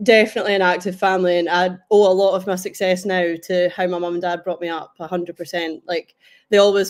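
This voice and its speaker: Monotone, flat intonation with a Scottish accent. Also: woman. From Scotland, Kinross (Perth and Kinross). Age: 20s. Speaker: international powerlifter. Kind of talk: podcast interview.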